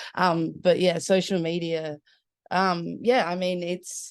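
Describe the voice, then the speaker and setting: Against a quiet background, a speaker with an Australian accent talks at a very slow pace. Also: woman. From Adelaide, South Australia. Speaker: musician. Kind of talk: casual chat. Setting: video call from her bedroom.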